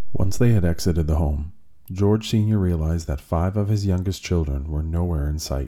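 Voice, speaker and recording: A man with a very deep, low voice speaks in a serious tone, somewhat breathy and with ordinary pitch variation. His sound is dark and mellow. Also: very clean recording, silent background. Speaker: true crime podcast host. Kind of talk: true-crime narration. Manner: measured, serious storytelling pace.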